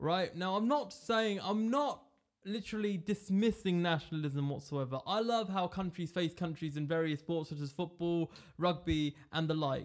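With a British accent, a man talks at a moderate pace in a high voice, his intonation lively and his tone animated. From England. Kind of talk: casual chat. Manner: joking, animated.

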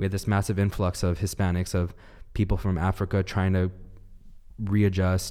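A man with a Southern Californian accent talks in a very deep, low voice with a dark, mellow tone. His intonation is monotone and flat, at a moderate pace broken by long, frequent pauses. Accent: Southern California American. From Los Angeles, California. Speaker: urban planning student. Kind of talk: casual panel discussion. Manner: earnest, personal.

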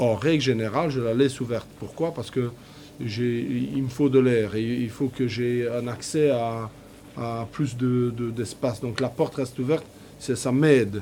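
A man with an ordinary speaking voice talks at medium pitch and a fairly slow pace, his intonation fairly even. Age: 50s. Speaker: factory worker and poet. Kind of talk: interview testimony.

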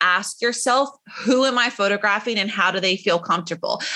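A woman's high-pitched voice with an American accent, lively intonation, and very even loudness. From South Carolina. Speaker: photographer. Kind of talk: casual interview chat.

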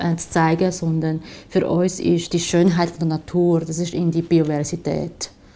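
With a dark, mellow tone, a woman speaks at a fairly slow pace in a fairly low pitch. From China, Shanghai. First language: Chinese (speaking German). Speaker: graphic designer. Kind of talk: interview. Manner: halting.

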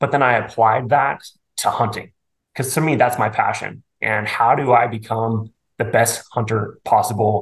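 This man talks at a moderate pace and medium pitch. His intonation is fairly even, and his voice is somewhat breathy. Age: 40s. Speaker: bowhunter and financial advisor. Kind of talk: casual interview chat.

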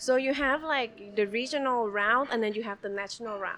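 Fairly quick delivery in a Thai accent with ordinary pitch variation. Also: woman. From Bangkok, Thailand. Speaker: business owner and pianist. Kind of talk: casual interview chat.

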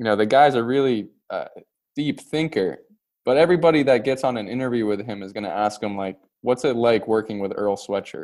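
With an American accent and an ordinary speaking voice, a man speaks at a fairly quick pace, his medium pitch showing ordinary variation. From Pittsburgh, US. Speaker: graduate student and podcast producer. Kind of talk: casual chat.

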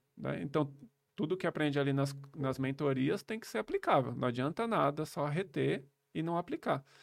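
Lively intonation marks a man's fairly high voice at a moderate pace. The recording is very clean, with a silent background. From São Paulo, Brazil. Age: 30s. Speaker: accountant and digital nomad entrepreneur. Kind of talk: casual interview. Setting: studio.

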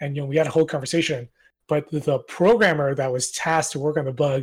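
At a moderate pace, a man speaks in a fairly high, somewhat breathy voice. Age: 30s. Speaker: indie game developer. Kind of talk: casual interview. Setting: Discord voice call.

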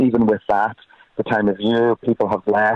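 In a Donegal accent, a man speaks at a fairly quick pace and a fairly low pitch with monotone, flat intonation. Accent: Donegal Irish. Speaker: pro-choice campaign canvasser. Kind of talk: interview.

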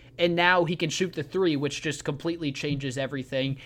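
At a moderate pace, a man speaks in an ordinary speaking voice with a fairly high pitch. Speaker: radio host. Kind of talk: radio dj patter. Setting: radio studio broadcast. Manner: brisk, upbeat sports-radio host delivery, polished show intros and sign-offs.

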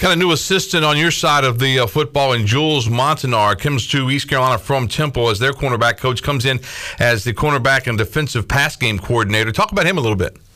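Over noticeable background noise, the voice races at a very fast pace with hardly any pauses, very even loudness, and ordinary pitch variation. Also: man, medium pitch for a man. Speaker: sports radio host.

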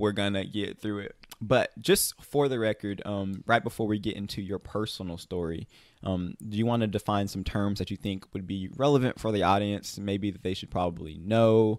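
A man speaks at a moderate pace with a fairly low pitch. The sound is dry and close with no echo, a very clean recording over a silent background. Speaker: podcast host. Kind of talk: casual interview chat. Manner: animated.

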